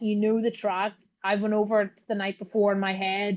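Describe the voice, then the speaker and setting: A woman's medium-pitched voice in a Northern Irish accent, monotone and flat, at a moderate pace. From Northern Ireland. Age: 30s. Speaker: ATV racer and CrossFit athlete. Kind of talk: podcast interview. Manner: casual, filler-heavy.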